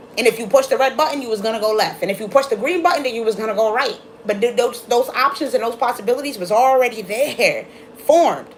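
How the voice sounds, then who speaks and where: Fast-talking woman with an American accent, high pitch, animated tone, ordinary pitch variation and noticeable background noise, all at a very fast pace. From Brooklyn, New York. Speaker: tarot reader. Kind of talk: live-stream tarot reading. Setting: live stream.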